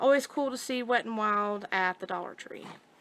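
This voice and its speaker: A woman's fairly high voice, bright and sharp in tone, with ordinary pitch variation. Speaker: YouTube haul vlogger. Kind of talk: shopping haul video. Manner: fast.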